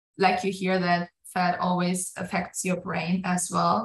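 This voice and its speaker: A woman with a German accent speaks at a fairly slow pace in a somewhat breathy voice. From Germany. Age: 20s. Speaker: pastor. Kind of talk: casual interview chat.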